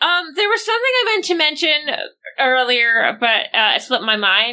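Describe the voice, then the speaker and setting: A woman's high, raised and projected voice, bright and sharp in tone, with very wide pitch swings at a moderate pace. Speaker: player in a tabletop roleplaying game. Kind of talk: casual roleplaying game chat.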